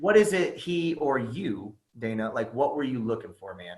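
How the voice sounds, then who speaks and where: His voice has a somewhat breathy quality. This man's pitch sits fairly high. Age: 30s. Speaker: podcast host. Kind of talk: casual interview chat. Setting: video call.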